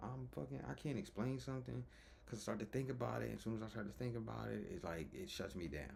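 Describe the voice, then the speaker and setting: With vocal fry and very wide pitch swings, the voice rushes at a very fast pace amid audible room echo. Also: man, fairly low pitch for a man. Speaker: vlogger. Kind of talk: personal vlog monologue. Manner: halting, with stutters and pauses.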